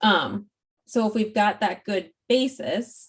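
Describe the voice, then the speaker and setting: This woman speaks with fairly even intonation. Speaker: school support specialist presenting to educators. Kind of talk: presentation. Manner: fast.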